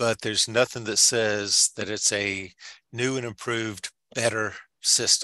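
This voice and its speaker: A man speaks at a medium pitch with a bright, sharp tone and fairly even intonation, in a Southern US accent. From Georgia, US South. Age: 60s. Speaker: home inspector and presenter. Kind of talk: webinar presentation. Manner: casual, halting.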